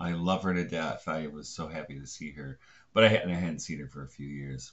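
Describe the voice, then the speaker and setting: The speaker is a man. He talks at a moderate pace. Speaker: video blogger on religion. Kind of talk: casual vlog chat. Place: home room. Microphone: webcam.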